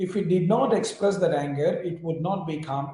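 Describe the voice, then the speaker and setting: A man with an Indian accent speaks at a moderate pace in a fairly high voice with ordinary pitch variation. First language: Indian language. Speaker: yoga teacher. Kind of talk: interview.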